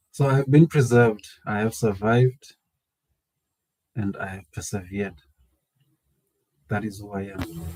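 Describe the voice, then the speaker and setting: A man with a South African accent has a dark, mellow tone and a fairly low pitch with ordinary variation. He speaks at a moderate pace with long, frequent pauses and big swings in loudness. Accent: South African (Venda) English. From South Africa, Limpopo. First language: Tshivenda. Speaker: community organisation founder. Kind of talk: personal introduction monologue.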